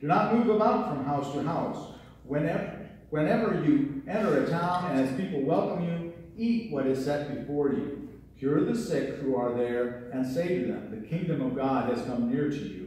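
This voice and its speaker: A man speaks at a moderate pace with very wide pitch swings. The room has strong echo, with light background noise. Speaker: pastor. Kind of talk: scripture reading in sermon. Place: church.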